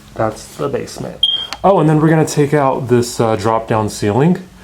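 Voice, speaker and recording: A man with an American accent speaks at a moderate pace with very wide pitch swings. Noticeable background noise and audible room echo surround him. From US Midwest, Kansas City. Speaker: home renovator and house flipper. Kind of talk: house tour walkthrough. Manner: casual, filler-heavy.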